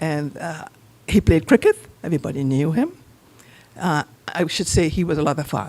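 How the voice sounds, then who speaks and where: With an American accent, the speaker keeps to a medium pace. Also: woman. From Trinidad. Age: 70s. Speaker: eulogy speaker, sister of the deceased. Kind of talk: eulogy. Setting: funeral chapel.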